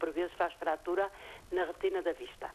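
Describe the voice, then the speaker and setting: Her voice is fairly low in pitch. This woman speaks at a moderate pace. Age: 60s. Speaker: caller. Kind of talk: phone-in question. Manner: halting.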